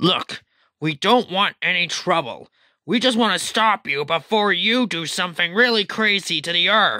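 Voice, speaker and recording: A put-on character voice speaks at middle pitch and a moderate pace. The recording is very clean, with a silent background. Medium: machinima. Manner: blunt, casual.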